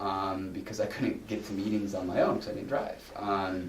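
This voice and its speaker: A man with a fairly low pitch speaks at a moderate pace, with audible room echo and noticeable background noise. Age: 30s. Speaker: guest speaker in addiction recovery. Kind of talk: recovery testimony talk. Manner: halting, many fillers and repetitions.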